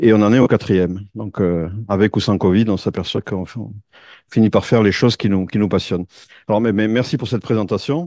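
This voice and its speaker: Fairly quick speech from a man with a fairly low, dark, mellow voice, ordinary pitch variation and a quiet background. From France. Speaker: tech executive and conference speaker. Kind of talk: conference talk. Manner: halting, many fillers.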